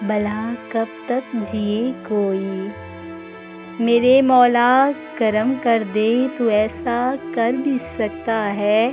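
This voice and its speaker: Music plays in the background. The intonation is fairly even. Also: woman, fairly high pitch for a woman. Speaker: poetry narrator. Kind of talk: poetry reading. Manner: emotional, melancholic.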